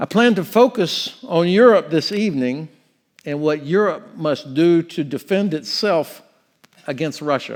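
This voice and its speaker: A man with a Southern US accent speaks at a fairly slow pace. His voice is high, and his intonation is lively. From Florida, US South. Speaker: retired army general. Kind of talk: lecture.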